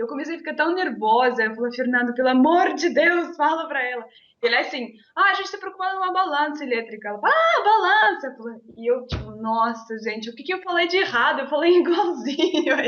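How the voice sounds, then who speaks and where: Lively intonation marks a woman's high-pitched voice with a slight Russian accent. She speaks at a fairly quick pace. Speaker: interview guest. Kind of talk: casual interview.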